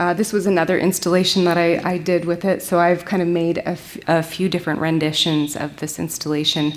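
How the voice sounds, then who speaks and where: A woman with an American accent, fairly low in pitch, monotone and flat in intonation at a fairly quick pace, with audible room echo. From US Pacific Northwest, Olympic Peninsula. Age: 40s. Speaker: glass artist. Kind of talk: lecture. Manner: halting.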